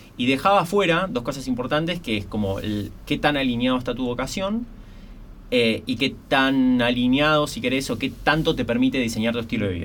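A man in an ordinary speaking voice talks fairly quickly at a medium pitch with lively intonation. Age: 30s. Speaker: entrepreneur and business mentor. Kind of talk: podcast interview.

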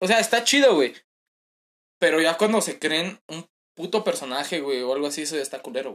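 With a Mexican accent and a fairly high pitch, a man talks at a fairly quick pace with lively intonation and long, frequent pauses. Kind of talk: casual chat. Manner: animated.

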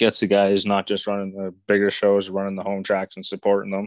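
In a dry, close recording with no echo, a man speaks at a moderate pace. His fairly low voice carries a Canadian accent. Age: 20s. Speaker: stock car racing driver. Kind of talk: casual interview.

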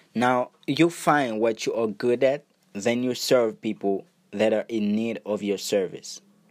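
This man speaks with a Haitian accent at a fairly slow pace. His pitch is medium, with ordinary variation. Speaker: podcast host, entrepreneur and music producer. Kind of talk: motivational monologue.

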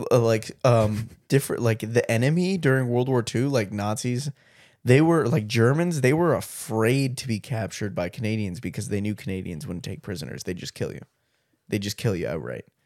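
An unremarkable speaking voice belongs to this man, medium in pitch, with lively intonation, a fairly quick pace and big swings in loudness. The recording is very clean, and the background is silent. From Canada. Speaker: podcast host. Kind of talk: casual chat.

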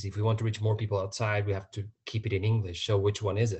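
A man's somewhat breathy voice sits at a fairly low pitch. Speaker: podcast host. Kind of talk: casual chat.

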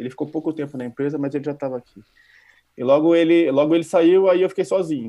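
The man's voice has a dark, mellow tone. The rise and fall of his pitch is ordinary. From Brazil. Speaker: database administrator. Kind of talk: casual interview. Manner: halting, repeats words.

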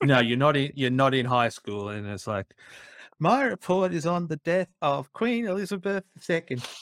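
Recorded very cleanly against a silent background, a man with an Australian accent speaks at a moderate pace in a fairly high pitch with very wide pitch swings, the sound dry and close with no echo. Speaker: podcast co-host. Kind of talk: casual chat.

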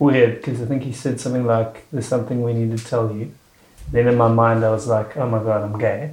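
This man talks at a very fast pace in a medium pitch, his intonation flat and monotone. His voice is somewhat breathy. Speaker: podcast host and comedian. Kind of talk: casual interview chat. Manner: joking, playful.

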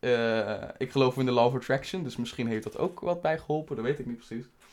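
A man at a medium pitch and moderate pace, with lively intonation. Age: 20s. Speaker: podcast host. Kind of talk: casual solo monologue. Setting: home studio, on camera. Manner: relaxed, halting with many fillers. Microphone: new microphone.

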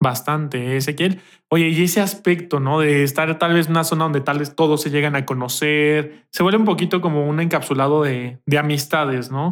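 An ordinary speaking voice moves at a fairly quick pace with fairly even intonation and hardly any pauses. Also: man, fairly high pitch for a man. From Mexico. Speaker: podcast co-host. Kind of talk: casual chat.

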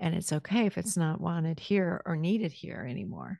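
A woman in an ordinary speaking voice, fairly low in pitch, at a moderate pace, with a dry, close sound with no echo and a quiet background. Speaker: podcast host. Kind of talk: interview.

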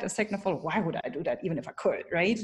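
A somewhat breathy, medium-pitched woman's voice, animated in tone and very fast. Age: 30s. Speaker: keynote speaker and coach. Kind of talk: interview.

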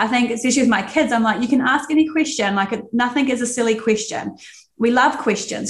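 A woman with a New Zealand accent speaks at a fairly quick pace. Her voice is high, with ordinary pitch variation. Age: 30s. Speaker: Pilates instructor, podcast co-host. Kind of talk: casual chat.

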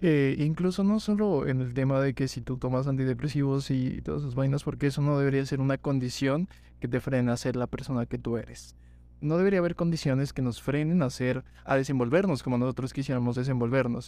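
Talking at a fairly quick pace, a man uses a dark, mellow tone at medium pitch with ordinary pitch variation. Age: 20s. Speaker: law student. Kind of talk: casual chat.

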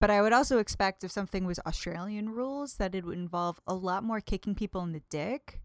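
Speaking very fast in a Midwestern American accent, a woman with a medium pitch and ordinary pitch variation is captured dry and close with no echo, on a very clean recording with a silent background. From US Midwest, northern Indiana. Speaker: podcast guest, host's girlfriend. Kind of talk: casual chat. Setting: home living room.

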